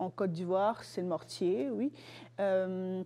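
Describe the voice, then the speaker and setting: A woman talks very slowly. Her medium pitch shifts with ordinary variation. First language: Lingala (speaking French). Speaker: student guest presenting a cultural object. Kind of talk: casual interview. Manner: hesitant, many fillers.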